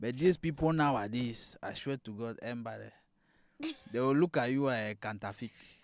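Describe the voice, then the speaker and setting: Here is a man with a plain, everyday voice, medium pitch and ordinary pitch variation, speaking at a moderate pace. His loudness swings widely on a very clean recording with a silent background. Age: 30s. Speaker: live show co-host. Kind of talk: casual chat. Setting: livestream.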